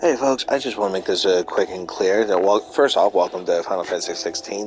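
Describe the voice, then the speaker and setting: Noticeable background noise sits behind a man speaking with ordinary pitch variation. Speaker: gameplay streamer. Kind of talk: casual commentary. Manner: halting, with fillers and self-corrections.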